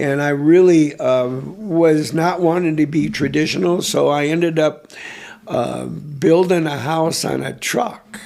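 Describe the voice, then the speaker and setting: A man talks at a fairly slow pace with a fairly high pitch. Noticeable background noise runs behind him. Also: ordinary pitch variation. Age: 70s. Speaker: artist. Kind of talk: interview. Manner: halting.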